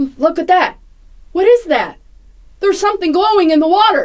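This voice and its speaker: Someone uses a put-on character voice at an extremely high pitch, keeping a moderate pace. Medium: stage play.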